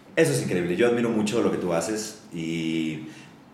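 Against noticeable background noise and audible room echo, a man with a very deep, low pitch speaks at a moderate pace with lively intonation. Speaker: podcast host. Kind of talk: casual chat.

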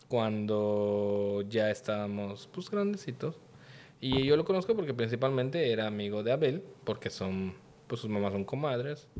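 Over noticeable background noise, a man speaks at medium pitch with lively intonation. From Mexico, Yucatán (Mérida). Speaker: podcast guest. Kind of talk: casual chat.

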